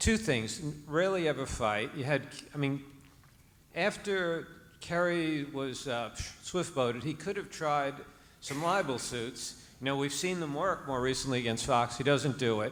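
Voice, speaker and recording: A man with a New Jersey accent talks at a fairly high pitch. His pitch varies in an ordinary way, and the room echo is audible. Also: moderate pace. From New Jersey, Hudson County. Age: 60s. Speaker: audience member asking question. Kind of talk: audience question. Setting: stage with audience.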